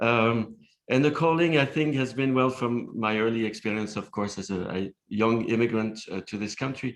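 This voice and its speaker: Against a quiet background, a man with a medium pitch speaks at a moderate pace with ordinary pitch variation. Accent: slight non-native. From outside the US. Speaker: nonprofit leader. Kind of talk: panel discussion. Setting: symposium panel.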